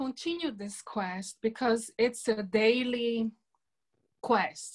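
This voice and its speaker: Speaking with a Brazilian accent, a woman uses a fairly high pitch and ordinary pitch variation. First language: Portuguese. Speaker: environmentalist and peace speaker. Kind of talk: online talk to a women's group. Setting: video call.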